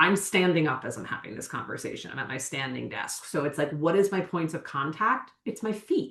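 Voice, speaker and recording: With lively intonation, a woman uses an ordinary speaking voice pitched fairly low. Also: hardly any pauses. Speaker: somatic educator. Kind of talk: podcast interview. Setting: video call from her office. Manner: deliberately slowed speech.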